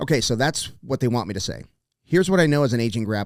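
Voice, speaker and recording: A plain, everyday voice from a man with an American accent, medium pitch and ordinary pitch variation, in a very clean recording with a silent background. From South Texas. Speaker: podcast host. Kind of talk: sponsor read.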